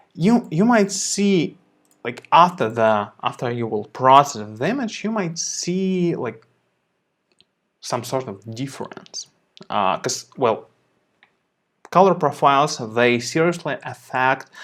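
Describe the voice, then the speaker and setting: Speaking very slowly with a non-native accent, a man pauses long and often, his fairly high voice making very wide pitch swings. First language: not English. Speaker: photo editing tutor, show host. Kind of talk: live stream tutorial. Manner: halting, many repetitions and fillers.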